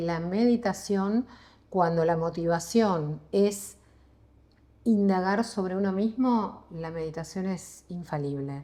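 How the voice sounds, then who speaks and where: A woman's medium-pitched voice, dark and mellow in tone, at a very slow pace with ordinary pitch variation. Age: 60s. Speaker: psychologist and meditation teacher. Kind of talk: interview conversation.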